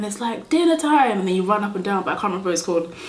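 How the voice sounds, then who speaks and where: A woman speaks in an animated tone at a fairly high pitch, with very wide pitch swings. Audible room echo and noticeable background noise surround her voice. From Nigeria, moved to the UK aged about 8. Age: 20s. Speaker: beauty YouTuber. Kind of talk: casual chat while doing makeup. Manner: chatty, animated.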